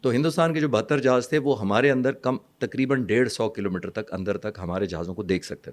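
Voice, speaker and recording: This man has a normal speaking voice of medium pitch, moving at a moderate pace with lively intonation and big swings in loudness. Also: hardly any pauses. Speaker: retired air force pilot, defence analyst. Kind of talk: interview explanation.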